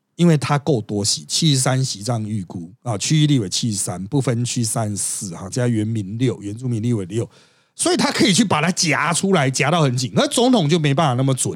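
Speaking at a fairly quick pace with hardly any pauses, a man with a Taiwanese accent uses a medium pitch and lively intonation. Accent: Taiwanese Mandarin. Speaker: podcast host and political commentator. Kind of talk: casual chat.

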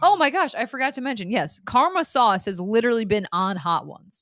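In a very clean recording with a silent background, a woman with an American accent uses a normal speaking voice at a fairly high pitch and a fairly quick pace. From upstate New York. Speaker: sports reporter and podcast host. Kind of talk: casual chat.

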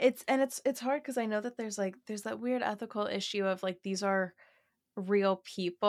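At a fairly quick pace, a woman uses a normal speaking voice of medium pitch with ordinary pitch variation, recorded dry and close with no echo. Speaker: podcaster and gossip creator. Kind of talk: casual podcast chat. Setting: remote recording, online call. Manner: casual, self-deprecating, chatty.

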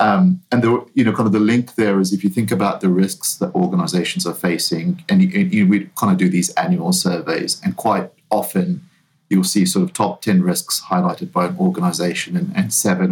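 With a New Zealand accent, a man speaks at a fairly quick pace, his medium-pitched, somewhat breathy voice making very wide pitch swings. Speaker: talent management consultant. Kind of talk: interview. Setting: remote call.

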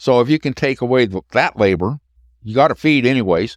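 The speaker is a man with a medium-pitched voice. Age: 60s. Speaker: cattle behaviorist. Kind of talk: casual chat. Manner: halting.

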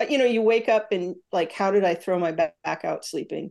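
A woman with a normal speaking voice, moderate pace and ordinary pitch variation, over a quiet background. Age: 60s. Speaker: actor and former army veterinarian. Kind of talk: casual interview chat.

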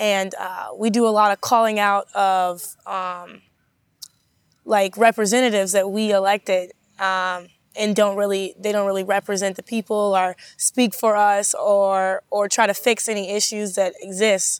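On a very clean recording with a silent background and a dry, close sound with no echo, a woman at a medium pitch talks at a moderate pace in a monotone, flat intonation. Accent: American. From Madison, Wisconsin. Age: 20s. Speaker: grassroots activist. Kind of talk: interview. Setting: studio. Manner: halting, many fillers.

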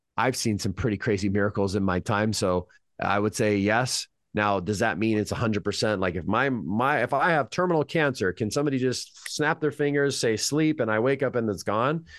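A man with an American accent speaks at a fairly quick pace and medium pitch, with lively intonation, very even loudness and a quiet background. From California. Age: 30s. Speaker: hypnotist. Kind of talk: casual interview chat.

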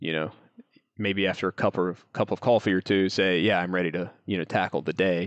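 Very deep and low in pitch, a man's voice comes through with an American accent. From US South, North Carolina foothills. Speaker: startup co-founder, geoscientist. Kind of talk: interview. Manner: halting.

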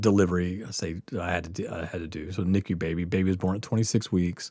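The tone of this man's voice is dark and mellow. The recording is very clean, with total silence in the background. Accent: Southern US. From Mississippi Gulf Coast, US South. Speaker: podcast host and nurse. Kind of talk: casual podcast chat, Q&A. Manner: rambling, filler-heavy, laughs often.

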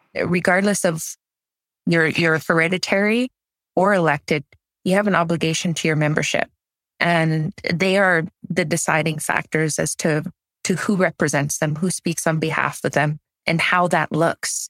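A woman with a Canadian accent speaks at a moderate pace and very even loudness, with long, frequent pauses. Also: fairly low pitch for a woman. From Haisla territory, northern British Columbia, Canada. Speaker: First Nations elected chief. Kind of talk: interview.

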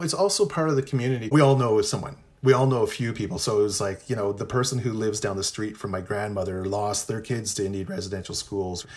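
A man with a fairly low, somewhat breathy voice talks at a fairly quick pace in a Canadian accent, on a very clean recording with a silent background. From Ontario, Canada (Anishinaabe, Pikwakanagan). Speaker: professor. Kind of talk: interview.

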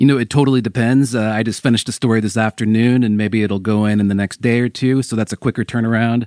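A man with an American accent rattles along at a very fast pace with hardly any pauses, his medium pitch held in a monotone, flat intonation. The recording is very clean and silent behind him, with a dry, close sound and no echo. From US Pacific Northwest, Seattle. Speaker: sports investigative reporter. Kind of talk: podcast interview.

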